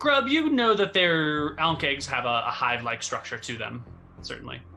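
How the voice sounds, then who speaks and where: A man puts on a character voice at a fairly high pitch and a moderate pace. Clear music plays in the background. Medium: actual play. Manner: teasing, a little condescending.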